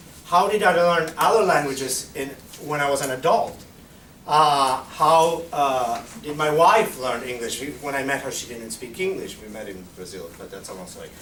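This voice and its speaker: Lively intonation and big swings in loudness mark this man's fairly high-pitched voice at a moderate pace. Audible room echo and noticeable background noise fill the recording. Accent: Spanish. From Argentina. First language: Spanish. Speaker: Spanish teacher. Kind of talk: conference presentation Q&A. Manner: halting.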